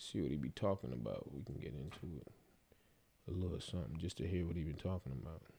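Talking at a very fast pace, a man with a very deep, low voice and vocal fry uses ordinary pitch variation. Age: young. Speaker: podcast host. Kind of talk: casual chat.

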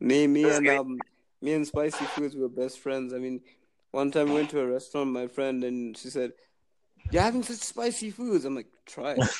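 At a fairly quick pace, a man talks in an ordinary speaking voice with a fairly high pitch and ordinary pitch variation. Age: 20s. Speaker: podcast app user. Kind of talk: casual chat.

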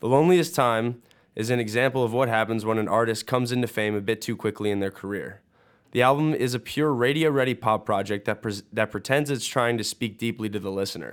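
A man's voice sits at a medium pitch. He speaks very quickly. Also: ordinary pitch variation, very clean recording, silent background. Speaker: student music reviewer. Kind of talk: radio album review.

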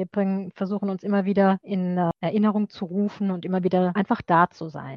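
At a fairly quick pace and with hardly any pauses, a woman speaks at medium pitch. Her intonation is monotone and flat. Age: 50s. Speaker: librarian. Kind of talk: interview.

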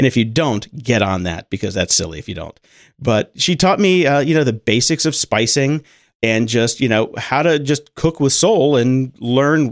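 A man with a plain, everyday voice speaks at a medium pitch and a moderate pace, with lively intonation. The recording is very clean, with a silent background. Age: 40s. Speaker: podcast editor. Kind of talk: casual interview.

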